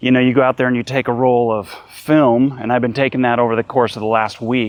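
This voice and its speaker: In a monotone, flat intonation, the words come at a fairly quick pace. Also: man. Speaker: aspiring YouTuber, film photography hobbyist. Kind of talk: casual vlog talk to camera. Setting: outdoors. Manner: halting, with fillers and repetitions.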